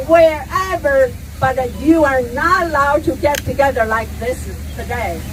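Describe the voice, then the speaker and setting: A woman at a fairly slow pace with lively intonation, over noticeable background noise. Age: 60s. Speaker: protest speaker. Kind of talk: speech at rally.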